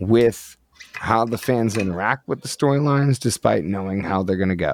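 In an unremarkable speaking voice, a man talks at a fairly low pitch with lively intonation, the sound dry and close with no echo. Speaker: podcast host. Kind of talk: casual chat. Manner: casual, profane.

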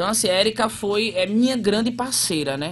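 A man speaks with a northeastern Brazilian accent. His pace is moderate. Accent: northeastern Brazilian, noticeable. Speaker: theatre actor and artist. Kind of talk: radio interview.

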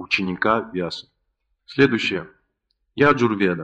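Here a man talks with ordinary pitch variation. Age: 30s. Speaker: spiritual lecturer. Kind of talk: lecture.

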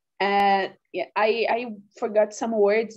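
In a Portuguese accent, a woman speaks at a very slow pace. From Brazil, Minas Gerais. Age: 20s. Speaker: biomedicine student. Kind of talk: casual conversation practice. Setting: video call.

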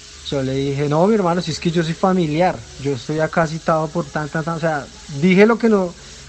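Music plays in the background as a man speaks at a fairly quick pace. His voice is high-pitched. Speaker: football fan. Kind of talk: recorded voice message.

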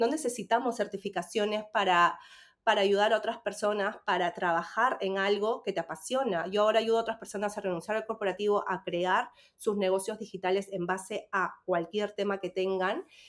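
Fairly even intonation accompanies a fairly quick pace. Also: woman, medium pitch for a woman. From Peru. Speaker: Spanish teacher and business coach. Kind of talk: casual chat. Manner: halting.

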